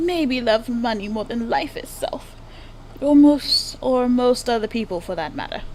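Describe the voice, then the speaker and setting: Putting on a character voice, a woman drawls at a moderate pace in a high pitch with lively intonation and long, frequent pauses, while background noise is clearly heard. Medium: machinima. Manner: drawling, says darling often.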